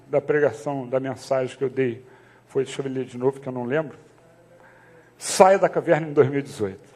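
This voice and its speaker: A man speaks here. His voice is soft-spoken. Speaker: pastor. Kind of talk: sermon. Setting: church. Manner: speaking softly to prompt the congregation; casual, conversational.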